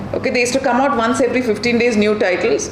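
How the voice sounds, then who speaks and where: Amid noticeable background noise and audible room echo, a woman speaks at a fairly high pitch. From Karnataka, South India (Bangalore). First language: Kannada. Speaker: children's author. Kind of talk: public talk to audience. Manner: animated.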